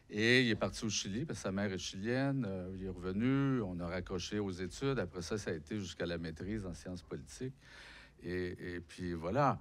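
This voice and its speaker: A man talks at a fairly quick pace in a fairly low pitch. His pitch variation is ordinary. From Quebec, Abitibi (Rouyn-Noranda). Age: 60s. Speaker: author and unemployment activist. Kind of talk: public talk interview. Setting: lecture hall with audience.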